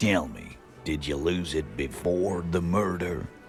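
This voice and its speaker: Someone uses a put-on character voice at a fairly slow pace. Clear music plays in the background. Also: man, very deep, low pitch for a man. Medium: video game. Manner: blunt, gruff.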